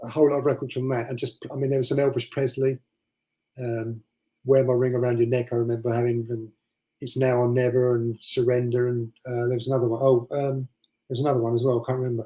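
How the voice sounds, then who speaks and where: Very fast and monotone, a man speaks with flat intonation at a medium pitch. His tone is dark and mellow, and somewhat breathy. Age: 50s. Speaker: DJ and record collector. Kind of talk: casual chat.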